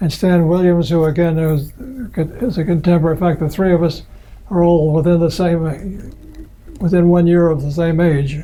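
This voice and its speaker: A man with an American accent speaks at a moderate pace in a high, monotone, flat voice, leaving long, frequent pauses amid audible room echo. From US Midwest, Michigan. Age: 80s+. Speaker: computer pioneer. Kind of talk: oral history interview. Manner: halting.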